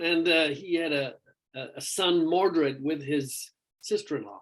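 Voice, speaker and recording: A man speaks with a high pitch at a fairly slow pace. His pitch varies in an ordinary way. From Ireland. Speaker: rock vocalist. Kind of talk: interview. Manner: halting, many fillers.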